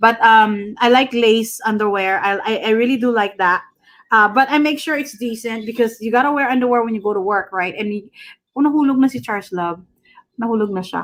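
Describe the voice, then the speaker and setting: Her pitch fairly high with ordinary variation, a woman talks at a fairly quick pace. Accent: Filipino. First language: Tagalog. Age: 40s. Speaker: livestreamer. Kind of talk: casual chat. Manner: loud when excited.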